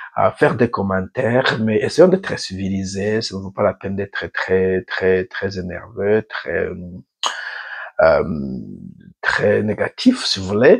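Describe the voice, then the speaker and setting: Very slowly and with long, frequent pauses, a man speaks in a dry, close sound with no echo. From Burundi. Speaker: YouTuber, African affairs commentator. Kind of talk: channel introduction monologue. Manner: halting, many hesitations; tries to speak slowly.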